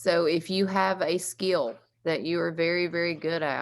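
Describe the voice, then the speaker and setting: On a very clean recording with a silent background, a woman with a Southern accent speaks at a moderate pace in a very deep, low pitch with fairly even intonation. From US South, East Tennessee (Carter County). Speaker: recovery housing co-founder. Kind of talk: presentation at community meeting.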